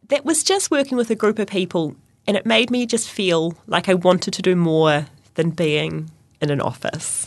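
A woman with a New Zealand accent, very wide pitch swings and a moderate pace. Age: 30s. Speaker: runner and teacher. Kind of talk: interview.

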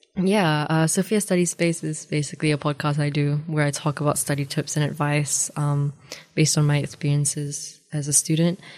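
Her voice is very deep and low for a woman. She talks at a fairly quick pace with fairly even intonation. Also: very clean recording, silent background. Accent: New Zealand. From New Zealand (Dunedin), born in Malaysia. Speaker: law student. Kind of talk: radio interview.

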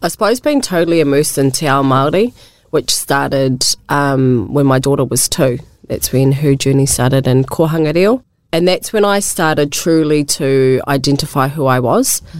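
A woman speaks with a New Zealand accent. Her pitch is very deep and low, with ordinary variation. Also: moderate pace. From New Zealand, Wairarapa. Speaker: community organisation worker. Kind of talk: radio interview. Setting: radio studio. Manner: hesitant, with fillers.

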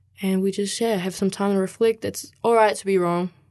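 A woman with a New Zealand accent. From New Zealand (Canterbury, from age seven; born Mexico). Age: 20s. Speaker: youth community volunteer. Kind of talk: interview. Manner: casual, many fillers.

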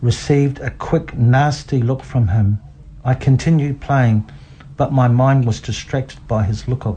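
What you hear is a plain reading aloud of a text.

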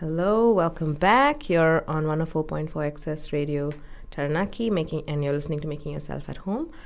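Using an Indian accent, a woman speaks at a moderate pace in a very deep, low pitch with ordinary variation. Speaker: radio host. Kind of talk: casual radio interview. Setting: studio.

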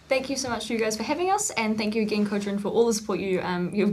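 Noticeable background noise sits under a woman speaking at a medium pitch. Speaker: university student. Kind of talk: casual chat. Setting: studio.

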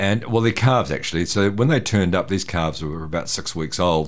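In a New Zealand accent, a man speaks with a fairly low pitch. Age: 60s. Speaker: farm herdsman. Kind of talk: interview.

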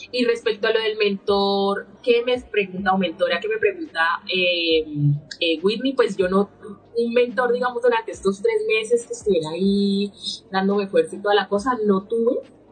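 A woman speaks at medium pitch. Noticeable background noise sits behind her. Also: ordinary pitch variation, moderate pace. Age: 30s. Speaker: political candidate. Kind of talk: interview.

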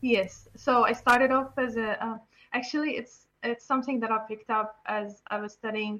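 A woman speaks at a moderate pace with an Arabic accent and a fairly high pitch. Her tone is bright and sharp, and her intonation is fairly even. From Syria. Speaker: software developer. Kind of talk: interview. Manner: halting, many fillers.

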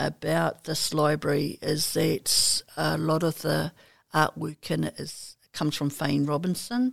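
Her words come very slowly. The woman's voice sounds dry and close, without any echo. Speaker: Māori library services staff. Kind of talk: cultural explanation. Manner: halting.

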